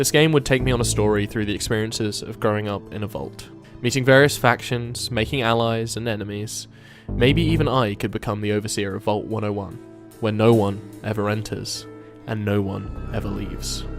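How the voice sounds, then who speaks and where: At a fairly quick pace and with fairly even intonation, the voice comes over music playing in the background. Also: man, fairly low pitch for a man. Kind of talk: video essay narration.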